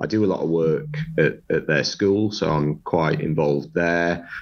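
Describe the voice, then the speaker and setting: A man with a Sunderland accent at a fairly slow pace. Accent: Sunderland (Mackem) English. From northeast England, Sunderland. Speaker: construction director and author. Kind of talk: casual interview.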